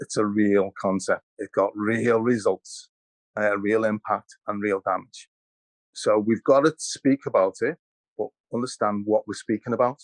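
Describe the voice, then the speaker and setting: A man in a Liverpool accent at a medium pitch, with fairly even intonation and a fairly slow pace, in a dry, close sound with no echo. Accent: Liverpool (Scouse). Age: 60s. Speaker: historian. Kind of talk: panel discussion. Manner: halting, repeats words.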